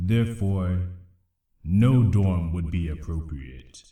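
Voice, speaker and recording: In a put-on character voice, a man speaks at a fairly slow pace with a very deep, low pitch, a solemn tone and ordinary pitch variation. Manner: solemn, slow.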